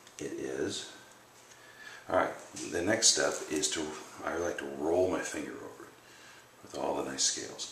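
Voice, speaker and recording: A soft-spoken man with long, frequent pauses and audible echo in the room. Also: moderate pace, big swings in loudness. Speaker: bowyer. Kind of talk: tutorial. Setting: home workshop at night.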